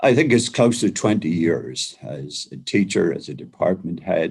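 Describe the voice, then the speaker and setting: Vocal fry runs through this fairly slowly paced speech. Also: man. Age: 80s+. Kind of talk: interview. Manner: halting, many fillers and repetitions.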